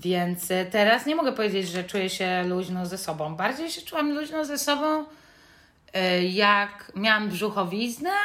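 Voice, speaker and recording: Lively intonation from a woman at a fairly high pitch, fairly slow in pace. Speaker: podcast co-host. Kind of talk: casual chat. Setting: recording at home in mother's apartment.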